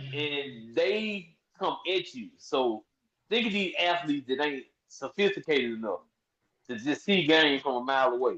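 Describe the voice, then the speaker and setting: This man sounds animated, with a bright, sharp tone and a fairly high pitch. He moves at a moderate pace with lively intonation. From Memphis, Tennessee. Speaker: podcast co-host. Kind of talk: casual chat.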